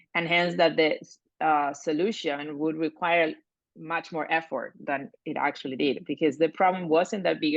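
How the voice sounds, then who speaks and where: A woman speaks with a Spanish accent and a very deep, low pitch. Her pace is moderate and her intonation fairly even. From Argentina. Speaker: coaching client. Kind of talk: reflective interview. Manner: halting.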